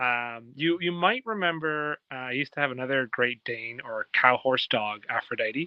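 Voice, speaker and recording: A man at a moderate pace with lively intonation. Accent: Canadian. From Ontario, Canada. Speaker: pet owner on a call-in show. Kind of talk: casual chat. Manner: halting.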